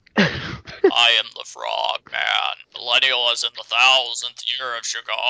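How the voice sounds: Here a man uses a put-on character voice at medium pitch, raspy and croaky. He speaks at a fairly slow pace.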